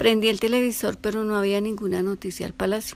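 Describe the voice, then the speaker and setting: Her intonation flat and monotone, a woman talks at a moderate speed and a medium pitch. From Colombia, Bogotá. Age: 60s. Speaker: eyewitness. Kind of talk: testimony.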